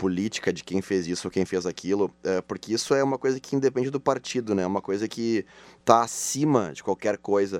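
Sound here is dry and close, with no echo. Little stirs in the quiet background. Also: man. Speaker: podcast co-host. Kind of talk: casual chat. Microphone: far from the microphone.

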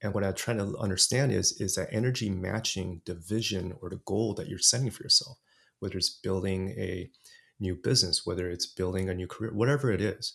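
On a very clean recording with a silent background, a man with an American accent speaks fairly quickly at a fairly low pitch with ordinary pitch variation. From California, US (Los Angeles). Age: 40s. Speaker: podcaster and coach. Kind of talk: interview conversation.

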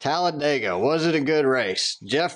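This man has a Southern accent and a fairly high pitch. His pitch varies in an ordinary way. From Atlanta, Georgia. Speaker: podcast host. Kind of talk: casual chat.

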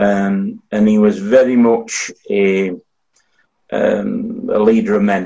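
A man speaks very slowly with a Yorkshire accent. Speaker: audience member asking the panel a question.

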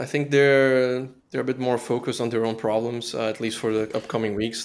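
A man talks with a Portuguese accent. His pace is very fast. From southern Brazil, Blumenau. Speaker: relocation and tax consultant. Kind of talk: casual chat.

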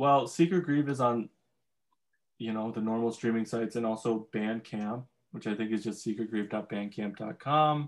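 Male speech in a plain, everyday voice, medium-pitched, moderately paced, with ordinary variation in pitch. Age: young. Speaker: musician. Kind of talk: casual chat. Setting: video call.

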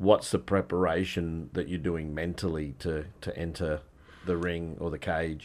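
A man with an Australian accent and a very deep, low pitch, at a fairly slow pace with fairly even intonation. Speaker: podcast host. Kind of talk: interview.

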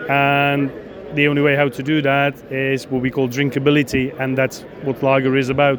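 In a Czech accent, a man talks in a fairly high, monotone, flat voice against noticeable background noise. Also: moderate pace. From Czech Republic. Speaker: equipment company executive. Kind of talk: interview. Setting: trade show. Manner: halting.

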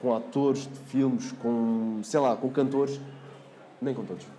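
A man speaks with lively intonation. There is audible room echo and noticeable background noise. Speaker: TV reporter and MC. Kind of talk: casual chat.

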